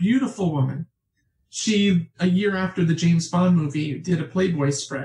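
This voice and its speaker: A woman with an American accent speaks with lively intonation, a somewhat breathy quality and a dark, mellow tone. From New York State, Catskills. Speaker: author. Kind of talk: interview conversation. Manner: talkative.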